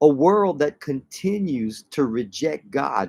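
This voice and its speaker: The delivery is very slow. The sound is dry and close, with no echo. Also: man. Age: 60s. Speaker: pastor. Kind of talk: sermon. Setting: livestream. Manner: animated.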